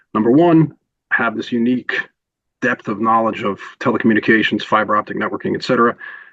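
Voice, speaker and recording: A man's medium-pitched voice with a New York accent, bright and sharp in tone, ordinary pitch variation, and a fairly quick pace. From New York (Queens). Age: 60s. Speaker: telecom consultant. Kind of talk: podcast interview. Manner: hesitant, many fillers.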